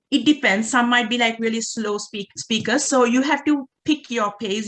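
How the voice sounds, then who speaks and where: In a Sri Lankan accent, a woman speaks at a fairly high pitch. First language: Sinhala. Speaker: doctoral researcher, workshop presenter. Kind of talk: workshop presentation. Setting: online video call.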